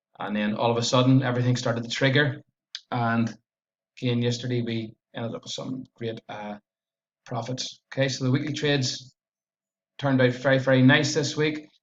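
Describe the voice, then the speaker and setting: Speaking in a strong Belfast accent, a man with a medium pitch goes at a fairly quick pace with monotone, flat intonation and long, frequent pauses. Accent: strong Northern Irish (Belfast). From Northern Ireland, Belfast area. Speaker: forex trader. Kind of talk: trading recap and chart analysis. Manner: tends to speak fast.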